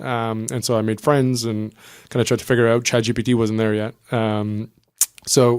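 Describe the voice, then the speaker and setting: A man with a slight French-Canadian accent, medium-pitched, fairly quick and fairly even in intonation. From New Brunswick, Canada (Acadian French). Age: 30s. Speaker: startup co-founder. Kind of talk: podcast interview. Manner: casual, with frequent filler 'um'.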